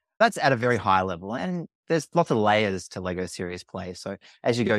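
On a very clean recording with a silent background, a man with a fairly low voice speaks fairly quickly, the sound dry and close with no echo. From Australia. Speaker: workshop facilitator. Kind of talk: casual interview chat.

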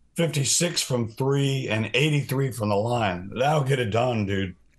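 The delivery is fairly slow and somewhat breathy, with ordinary pitch variation. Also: man. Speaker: sports podcast co-host. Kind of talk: casual sports chat.

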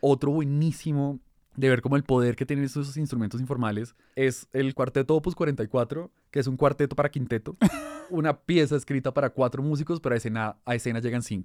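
A man talks at a fairly quick pace with fairly even intonation in a plain, everyday voice, the sound dry and close with no echo on a very clean recording with a silent background. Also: medium pitch for a man. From Colombia (Bogotá, raised partly in Barranquilla). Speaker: journalist. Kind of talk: casual chat.

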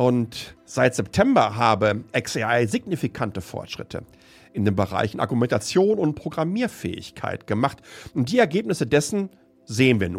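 An animated man at a medium pitch, with very wide pitch swings. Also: moderate pace. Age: 50s. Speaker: tech podcast host. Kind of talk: solo commentary podcast.

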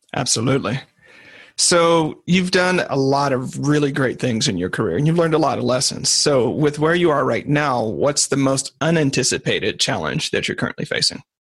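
An ordinary speaking voice from a fairly high-pitched man, moderate in pace with ordinary pitch variation and very even loudness, on a very clean recording with a silent background. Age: 30s. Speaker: podcast host. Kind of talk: interview conversation. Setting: recorded call.

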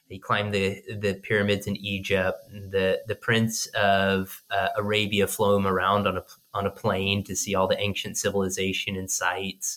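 A man's fairly low, bright, sharp voice with an American accent, monotone, flat intonation and a moderate pace. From US, southern Oregon coast. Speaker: company executive. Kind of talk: interview answers. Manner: hesitant, with fillers.

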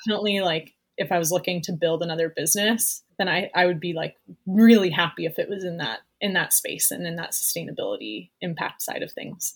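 With a western Canadian accent, a woman speaks fairly quickly at a fairly low pitch, somewhat breathy, with ordinary pitch variation. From Canada, Vancouver Island (Campbell River). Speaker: entrepreneur. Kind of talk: casual interview.

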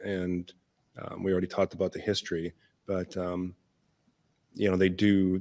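The man's pitch is very deep and low. He talks at a moderate pace. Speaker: packaging engineer. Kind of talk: casual interview. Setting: in-person studio-style recording.

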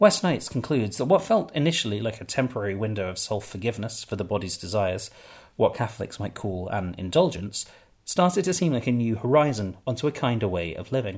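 A man with a somewhat breathy, medium-pitched voice talks at a very fast pace with lively intonation, recorded very cleanly against a silent background. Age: 30s. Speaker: podcast host and memoirist. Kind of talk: scripted narration.

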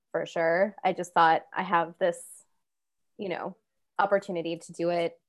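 A woman with an American accent has a plain, everyday voice and a fairly low pitch. She speaks at a moderate pace with fairly even intonation over a quiet background. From US Midwest, Kansas. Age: 30s. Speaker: guest, former podcast producer. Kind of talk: casual chat. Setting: remote call from a friend's home.

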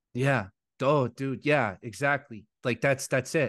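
Against a quiet background, a man with an unremarkable speaking voice talks at a moderate pace and medium pitch. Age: 40s. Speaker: podcast host. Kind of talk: casual chat.

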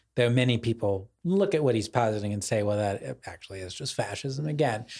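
A man with a medium pitch speaks in a somewhat breathy voice with lively intonation. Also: very clean recording, silent background. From US suburbs. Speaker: podcast co-host, literary writer. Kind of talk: casual intellectual conversation.

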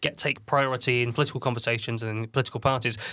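The speech races along at a very fast pace in a British accent. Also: man. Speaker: podcast co-host. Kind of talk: casual chat.

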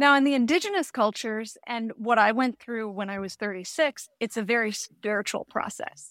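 A plain, everyday voice from a woman, fairly high in pitch with ordinary pitch variation and hardly any pauses, dry and close with no echo on a very clean recording with a silent background. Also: moderate pace. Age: 40s. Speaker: midlife mindset coach. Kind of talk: interview.

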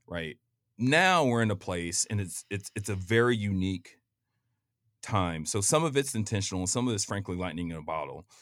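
In an ordinary speaking voice, a man with an American accent talks at a moderate pace in a fairly low pitch with lively intonation, recorded very cleanly against a silent background. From Kansas City, Missouri, US Midwest. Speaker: lawyer and real estate developer. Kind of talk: casual chat. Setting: studio.

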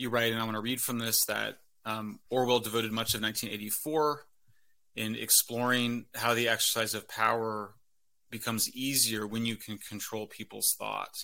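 Captured in a very clean recording with a silent background, a man with an American accent speaks at a moderate pace and medium pitch, his bright, sharp tone held in a flat monotone. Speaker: podcast host. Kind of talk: interview.

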